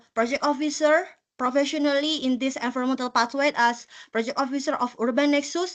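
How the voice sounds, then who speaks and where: Against a quiet background, a woman with a high pitch speaks with a strong non-native accent. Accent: thick non-native. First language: not English. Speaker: volunteer presenter, environmental project officer. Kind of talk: short personal presentation. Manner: halting, many fillers.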